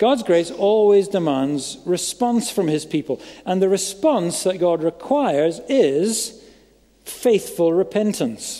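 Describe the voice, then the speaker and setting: Over a quiet background, a man speaks at a very slow pace. His tone is dark and mellow, and his intonation is lively. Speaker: preacher. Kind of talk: sermon. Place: church. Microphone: headset.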